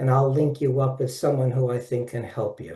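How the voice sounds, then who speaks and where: Somewhat breathy, a man's fairly high voice carries a dark, mellow tone. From Brooklyn, New York. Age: 70s. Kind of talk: webinar presentation. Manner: animated.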